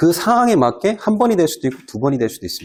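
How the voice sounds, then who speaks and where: A man speaking at a very fast pace with very wide swings in pitch. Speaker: exam prep instructor. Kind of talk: lecture.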